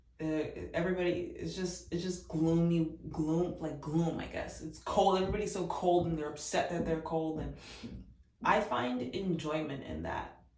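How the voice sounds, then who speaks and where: With noticeable background noise and audible room echo, a woman with a fairly low pitch speaks at a moderate pace in fairly even intonation. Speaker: vlogger. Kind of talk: casual chat. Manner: soft-spoken.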